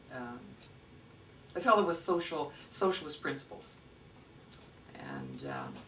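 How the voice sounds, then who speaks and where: Someone with a Canadian accent talks at a fairly slow pace with long, frequent pauses, amid noticeable background noise and audible room echo. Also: woman. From Canada, Nelson BC. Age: 70s. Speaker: interviewee. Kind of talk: oral history interview. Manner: halting, many fillers.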